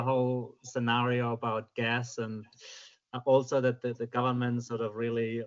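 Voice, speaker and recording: A man with a German accent, medium pitch and fairly slow pace. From Germany. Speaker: submitter at public hearing. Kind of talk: public submission. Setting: video call from home.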